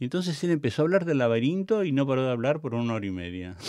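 A man with a medium pitch speaks with very wide pitch swings. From Argentina, La Pampa. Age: 60s. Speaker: theatre director and cultural manager. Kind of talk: interview. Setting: studio.

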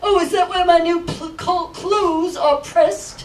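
Against clear background noise, a man uses a cartoonish character voice with an extremely high pitch, speaking at a fairly slow pace. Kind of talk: live children's puppet show.

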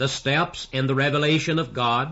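The man's speech shows ordinary pitch variation. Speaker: pastor. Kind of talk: sermon. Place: church. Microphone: old recording.

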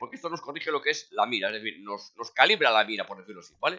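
A man's very fast speech with vocal fry and very wide pitch swings. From Galicia, Spain (A Coruña). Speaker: gaming YouTuber. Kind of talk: gameplay tutorial. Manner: hesitant, many fillers.

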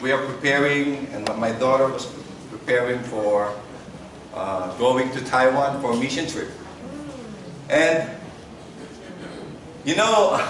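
Speaking very slowly with ordinary pitch variation, a man is heard through audible room echo and noticeable background noise. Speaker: guest preacher. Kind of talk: sermon. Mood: warm, relaxed, laughing. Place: church. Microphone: camera far.

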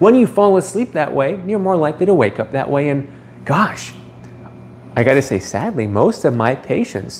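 There is light background noise as a man talks at a moderate pace. His pitch swings very widely. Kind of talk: live stream chat answering viewers. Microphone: phone near.

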